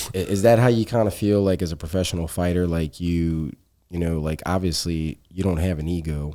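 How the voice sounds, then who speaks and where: The tone is dark and mellow on a very clean recording with a silent background. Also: man, very deep, low pitch for a man, fairly even intonation, fairly quick pace. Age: 30s. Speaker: podcast host. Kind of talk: casual chat.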